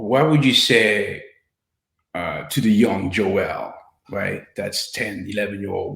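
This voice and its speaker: A man with a French accent talks at a very slow pace amid audible room echo. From France (Paris), Haitian descent. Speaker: filmmaker and interviewer. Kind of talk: panel interview. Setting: panel event.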